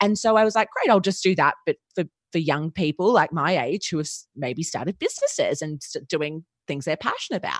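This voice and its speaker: A woman with an Australian accent and a fairly low pitch speaks at a fairly quick pace with lively intonation, the sound dry and close with no echo. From Australia, Melbourne. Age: 20s. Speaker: podcast agency founder. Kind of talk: casual interview.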